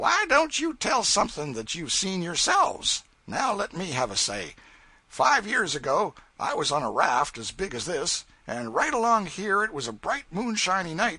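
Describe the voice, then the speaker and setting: Putting on a character voice, a man speaks raspily at a moderate pace, high-pitched and with very wide pitch swings. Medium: read story. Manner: folksy, assertive storytelling.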